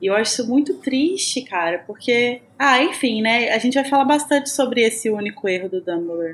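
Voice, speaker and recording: A woman with a Minas Gerais accent talks at a fairly quick pace, with hardly any pauses and a high pitch. Noticeable background noise runs under her voice. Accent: Minas Gerais (mineiro) Portuguese. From Brazil, Minas Gerais. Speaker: podcast co-host. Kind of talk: scripted announcement; casual chat.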